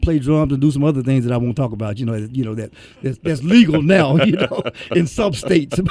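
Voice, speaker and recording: Talking at a very fast pace, a man with a Memphis accent uses lively intonation. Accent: Southern US (Memphis). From Memphis, Tennessee, US South. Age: 60s. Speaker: musician. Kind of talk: radio interview.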